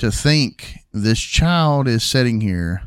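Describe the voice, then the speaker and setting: A man talks with pitch swinging very widely. The background is silent and the recording very clean. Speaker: podcast host. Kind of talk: casual banter podcast. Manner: playful, finishes sentences with interruptions.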